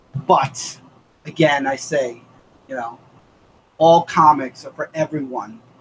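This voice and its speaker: An animated, somewhat breathy man at a fairly slow pace. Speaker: comic book reviewer. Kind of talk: live-streamed casual review chat. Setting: live stream. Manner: animated ranting.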